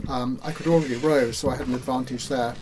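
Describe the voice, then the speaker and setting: A man with a British accent speaks at a medium pitch with fairly even intonation, and audible room echo is present. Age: 60s. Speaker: ocean rower. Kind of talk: personal account. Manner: halting, many fillers.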